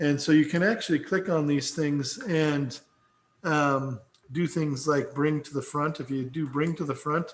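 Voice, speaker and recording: A man's voice sits fairly high in pitch and sounds somewhat breathy. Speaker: instructor. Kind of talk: lecture. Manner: slurred, loopy; halting with fillers.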